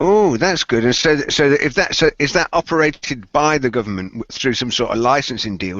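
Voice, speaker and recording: With a British accent, a man talks at a fairly quick pace using lively intonation. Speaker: tech podcast co-host. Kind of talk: casual chat. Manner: fast.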